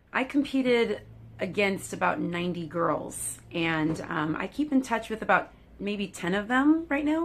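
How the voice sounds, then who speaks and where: In an American accent, a woman with a medium pitch and very wide pitch swings speaks at a fairly slow pace over light background noise. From California. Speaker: actress and former beauty queen; actress. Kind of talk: casual vlog-style talk to camera. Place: home room. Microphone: phone near.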